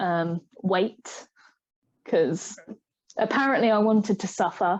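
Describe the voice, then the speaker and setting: A woman with an English accent speaks at a medium pitch and a very slow pace, with ordinary pitch variation. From England. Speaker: digital artist. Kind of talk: casual chat. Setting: live stream.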